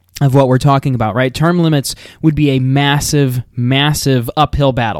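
An animated man with an American accent at a fairly quick pace, the sound dry and close with no echo. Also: hardly any pauses, very even loudness. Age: 20s. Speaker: political podcaster. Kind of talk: solo commentary monologue.

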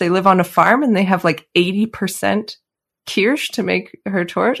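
A woman with a Canadian accent and a plain, everyday voice speaks fairly slowly at medium pitch with fairly even intonation. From Canada, Calgary. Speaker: pastry chef and cookbook author. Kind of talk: interview.

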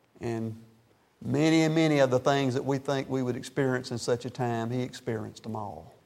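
A man speaks in a plain, everyday voice, with ordinary pitch variation. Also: medium pitch for a man, fairly quick pace. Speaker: pastor. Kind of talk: sermon. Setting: church.

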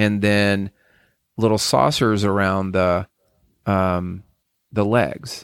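Long, frequent pauses break up a man's very slow speech. His pitch is fairly low and his intonation fairly even. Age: 60s. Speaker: podcast host. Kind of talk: casual chat. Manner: halting, many fillers.

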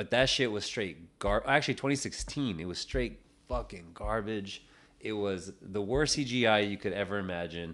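Over a quiet background, a man talks at a moderate pace in a fairly low pitch with ordinary pitch variation. He has a plain, everyday voice. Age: 20s. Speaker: podcast co-host. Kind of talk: casual chat. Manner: laid-back, slangy, laughs often.

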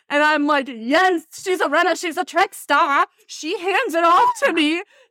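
Her voice is raised and projected, extremely high in pitch, with a bright, sharp tone. This woman keeps a moderate pace, and the sound is dry and close with no echo. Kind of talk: casual comedic chat. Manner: joking, self-deprecating.

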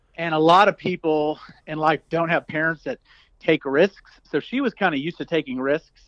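A man's plain, everyday voice at a moderate pace with ordinary pitch variation, in a dry, close sound with no echo. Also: fairly high pitch for a man. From US South. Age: 40s. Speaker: entrepreneur. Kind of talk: interview.

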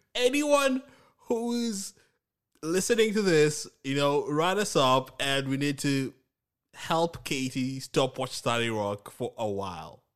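The man uses very wide pitch swings at a fairly slow pace, with a quiet background behind him. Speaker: podcast co-host. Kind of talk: casual chat.

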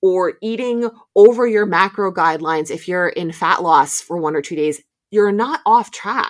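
The speaker has a normal speaking voice and lively intonation. The pace is fairly slow. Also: woman. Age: 40s. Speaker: movement coach and podcast host. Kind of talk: solo podcast monologue. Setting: home basement recording.

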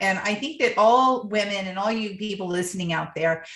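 A woman speaks at a fairly quick pace in an ordinary speaking voice. Her pitch is medium, with ordinary variation. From US Midwest (Ohio). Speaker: podcast host, professional organizer. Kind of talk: interview.

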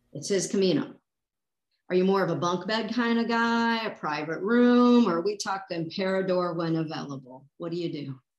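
At a moderate pace, a woman with an unremarkable speaking voice talks at medium pitch with lively intonation. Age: 50s. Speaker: podcast host. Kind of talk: casual interview.

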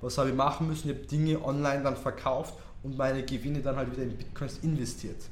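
A man with a Tyrolean accent at medium pitch, very fast and monotone, with audible room echo. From Austria, Tyrol. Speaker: crypto investor. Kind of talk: interview.

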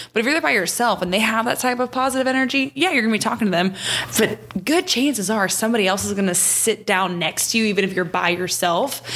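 Noticeable background noise sits under a woman speaking at a very fast pace and a fairly high pitch. Her pitch varies in an ordinary way, and her loudness stays very even. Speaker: bartending podcast host. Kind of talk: casual chat. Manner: fast talker.

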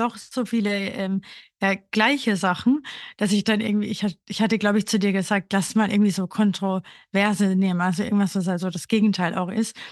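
Very fast speech comes from a woman with fairly even intonation. The background is quiet. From Austria, Burgenland. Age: 30s. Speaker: podcast co-host, grief counselor. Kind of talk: casual chat.

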